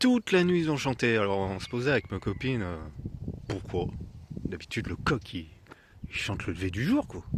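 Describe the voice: Soft-spoken and whispering, a man talks at a moderate pace.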